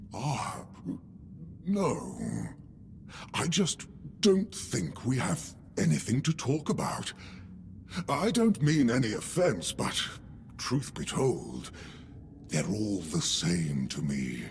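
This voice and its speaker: Using a put-on character voice, a man speaks at a very slow pace with long, frequent pauses over clear background noise. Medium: video game. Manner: polite, dry, weary.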